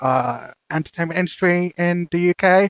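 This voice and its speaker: A man speaks with a Birmingham accent in a high pitch. The sound is dry and close, with no echo. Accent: Birmingham (Brummie) English. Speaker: podcast host. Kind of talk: casual chat.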